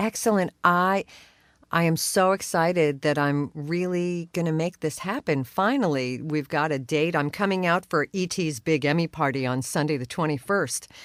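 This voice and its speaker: Dry and close with no echo, this very clean recording against a silent background carries a woman's fairly low voice with ordinary pitch variation. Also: moderate pace. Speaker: voice actor. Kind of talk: interview answer.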